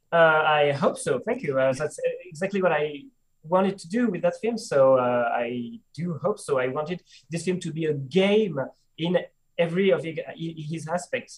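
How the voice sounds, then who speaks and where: A man with a French accent talks at a moderate pace in a high pitch. His intonation is lively. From France. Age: 30s. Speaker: film director. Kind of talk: interview. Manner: halting.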